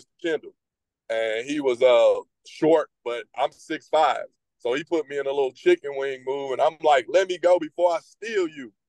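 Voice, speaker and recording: A man with an American accent and an unremarkable speaking voice talks at a moderate pace and fairly high pitch, with ordinary pitch variation, in a dry recording with no echo and a quiet background. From US Midwest. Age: 40s. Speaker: retired police investigator. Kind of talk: interview. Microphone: video call.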